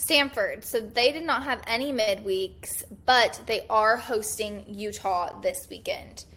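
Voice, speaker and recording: At a very slow pace and with hardly any pauses, a woman speaks in a fairly high pitch with a bright, sharp tone. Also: ordinary pitch variation. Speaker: college baseball podcast host. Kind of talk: casual chat.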